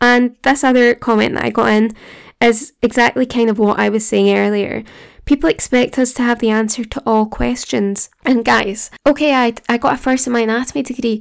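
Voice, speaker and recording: In a Glaswegian accent, a woman talks at a moderate pace with a fairly high pitch and fairly even intonation. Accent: Glaswegian Scottish. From Scotland. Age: 20s. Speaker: podcast host, graduate medical student. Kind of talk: casual personal monologue, solo podcast. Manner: conversational, earnest.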